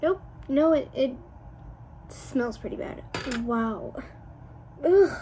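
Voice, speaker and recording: High-pitched woman at a very slow pace with lively intonation, long, frequent pauses, and noticeable background noise. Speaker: beauty vlogger. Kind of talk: casual vlog talk to camera.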